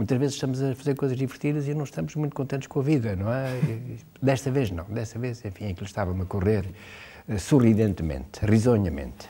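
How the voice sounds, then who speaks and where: A man with a medium pitch speaks at a very fast pace with lively intonation. His tone is dark and mellow, and somewhat breathy. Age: 70s. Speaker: writer. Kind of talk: interview. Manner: hesitant, many filler sounds.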